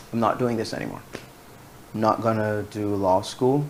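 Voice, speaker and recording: Amid noticeable background noise, a man talks at a moderate pace with fairly even intonation. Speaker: journalist. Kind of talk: interview. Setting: studio. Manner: monotone.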